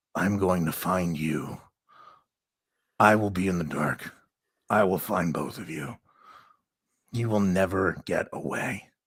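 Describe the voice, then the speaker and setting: A man's put-on character voice, raspy and growling, very deep and low, at a fairly slow pace with long, frequent pauses, on a very clean recording against a silent background. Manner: menacing, threatening.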